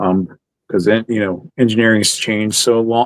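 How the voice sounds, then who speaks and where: With a Maryland accent, a man speaks at a moderate pace and medium pitch, his intonation fairly even. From Maryland, US. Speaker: toy podcast panelist. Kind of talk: casual chat.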